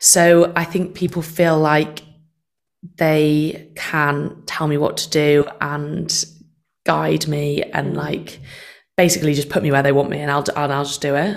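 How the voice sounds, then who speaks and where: Speaking in a Mancunian accent, a woman with a very deep, low pitch talks at a fairly slow pace in a monotone, flat intonation. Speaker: session singer. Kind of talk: casual chat.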